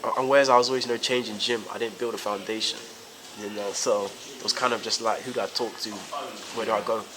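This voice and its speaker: Speaking at a very fast pace with a flat monotone and long, frequent pauses, a man in a South London accent holds a medium pitch over noticeable background noise. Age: 20s. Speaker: professional boxer. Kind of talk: interview. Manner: halting, many fillers.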